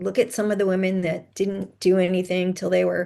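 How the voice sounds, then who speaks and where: A woman with an unremarkable speaking voice talks at a medium pitch with fairly even intonation over a quiet background. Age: 60s. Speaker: podcast host and author, mother of sons with ADHD. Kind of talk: interview conversation.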